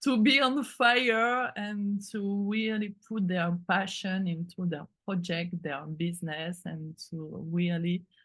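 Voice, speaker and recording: In a French accent, a woman speaks at a very slow pace against a quiet background. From France. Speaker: artist and creative mentor. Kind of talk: interview conversation. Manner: halting, many fillers.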